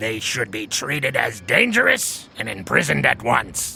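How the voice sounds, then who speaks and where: The speaker uses a put-on character voice at a moderate pace. Background noise comes through clearly. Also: man. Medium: video game. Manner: pompous, self-aggrandizing.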